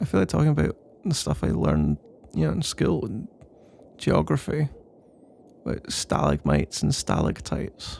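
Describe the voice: The put-on character voice swings very widely in pitch, with long, frequent pauses, a fairly slow pace, a slightly mellow tone and vocal fry. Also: man, fairly high pitch for a man.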